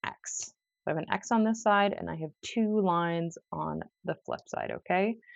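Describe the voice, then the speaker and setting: A woman speaks in an ordinary speaking voice. Her pitch sits fairly low. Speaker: crochet teacher. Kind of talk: tutorial. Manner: casual.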